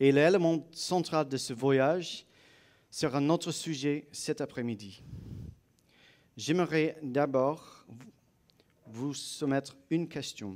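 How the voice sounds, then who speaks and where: A non-native accent at a very slow pace, with ordinary pitch variation and long, frequent pauses, in a very clean recording with a silent background. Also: man, fairly high pitch for a man. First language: not French (speaking French). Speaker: guest speaker, apologetics presenter. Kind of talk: lecture. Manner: halting.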